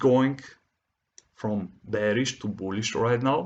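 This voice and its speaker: A man's very slow speech with a non-native accent. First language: not English. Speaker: forex trading educator. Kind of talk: tutorial. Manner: halting.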